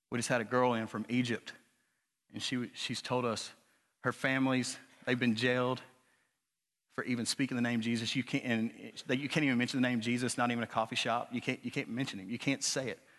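A man with a Southern US accent talks at a very fast pace and medium pitch, with long, frequent pauses. The background is quiet. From Arkansas, US South. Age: 30s. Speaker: preacher. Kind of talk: sermon. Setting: church. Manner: animated.

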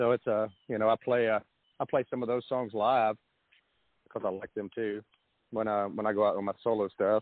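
Speaking with a Southern US accent, a man uses a fairly low, monotone voice with flat intonation at a fairly quick pace, broken by long, frequent pauses. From US South, Nashville area. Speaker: rock musician. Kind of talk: casual interview chat. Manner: fast talker.

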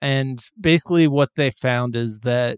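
In a normal speaking voice, a man of medium pitch talks at a fairly slow pace with fairly even intonation. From US Midwest/South: Dayton, Ohio and Lexington, Kentucky. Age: 40s. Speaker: podcast host. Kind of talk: casual chat.

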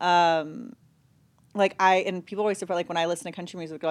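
The speech moves at a very fast pace on a very clean recording with a silent background. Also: woman. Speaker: reality TV personality. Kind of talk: casual chat. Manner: loud.

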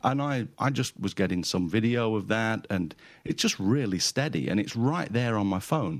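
With a British accent, a man at medium pitch talks at a moderate pace with lively intonation and very even loudness over a quiet background. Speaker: photographer and podcaster. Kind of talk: casual chat.

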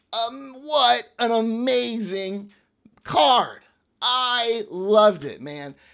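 The pace is very slow as a man speaks. He has a high pitch and lively intonation. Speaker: wrestling podcaster. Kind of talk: angry rant about wrestling, profane and sarcastic, passionate fan commentary. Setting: studio. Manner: animated, emphatic, punchy repeated phrases.

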